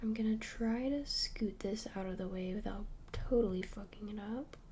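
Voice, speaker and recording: A soft-spoken voice is whispering. The pace is moderate. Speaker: ASMR creator. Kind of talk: ASMR craft tutorial, talking to camera. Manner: whispered, soft-spoken.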